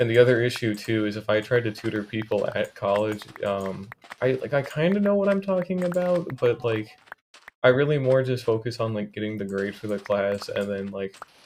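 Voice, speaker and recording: Lively intonation at a moderate pace. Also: man, medium pitch for a man. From US South (southwest Florida). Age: 18. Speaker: gaming livestreamer. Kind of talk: casual chat. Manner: casual, filler-heavy.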